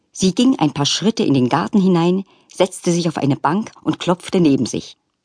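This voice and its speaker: Here a woman speaks at a moderate pace with a fairly low pitch. Her tone is gentle and animated, with very wide pitch swings. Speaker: audiobook narrator. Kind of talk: audiobook narration of a children's story, with character voices. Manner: softens to a gentle, sorrowful tone in the tender scene.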